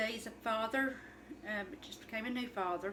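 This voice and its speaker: A woman with an Appalachian accent speaks at a fairly high pitch with ordinary pitch variation. Audible room echo and noticeable background noise fill the recording. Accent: Appalachian Kentucky. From Eastern Kentucky, Letcher County. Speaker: cooking vlogger. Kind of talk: casual cooking video chat. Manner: halting, many fillers.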